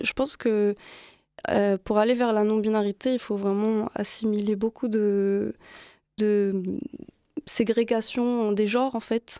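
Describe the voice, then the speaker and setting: A woman's fairly high, dark and mellow voice, very slow with long, frequent pauses, monotone and flat, very even in loudness, dry and close with no echo, on a very clean recording with a silent background. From Morocco. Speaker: musician and DJ. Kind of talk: casual interview. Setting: radio studio.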